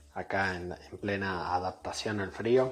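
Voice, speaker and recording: Music plays in the background. A man speaks with a very deep, low pitch and ordinary pitch variation. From Córdoba, Argentina. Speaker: listener sending voice message. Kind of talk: recorded voice message. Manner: halting.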